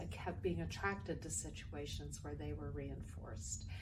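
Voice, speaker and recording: A woman at a moderate pace, with audible room echo. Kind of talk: personal testimony. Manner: loud.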